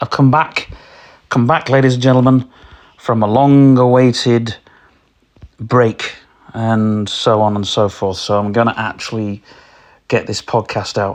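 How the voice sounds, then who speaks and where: In a British accent, a man speaks fairly slowly at a medium pitch, with fairly even intonation and long, frequent pauses. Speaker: podcast host. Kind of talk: casual solo podcast. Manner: halting, many fillers.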